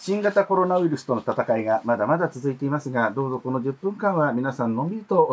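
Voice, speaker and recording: Speaking very fast with hardly any pauses, a man with a fairly high voice swings his pitch very widely. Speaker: podcast host. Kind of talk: scripted show narration; casual chat. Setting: studio.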